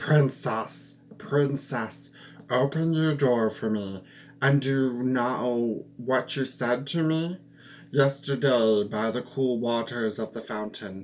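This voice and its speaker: A man puts on a character voice at a medium pitch, speaking fairly slowly. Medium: read story.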